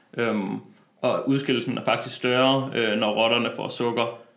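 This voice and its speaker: A man's medium-pitched voice, flat and monotone, at a fairly slow pace, with audible room echo and noticeable background noise. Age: 20s. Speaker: personal trainer and medical student. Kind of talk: interview. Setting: studio.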